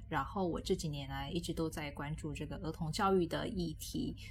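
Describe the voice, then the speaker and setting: A woman's voice with vocal fry, ordinary pitch variation and a Taiwanese accent. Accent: Taiwanese Mandarin. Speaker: children's literacy education specialist. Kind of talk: casual interview chat.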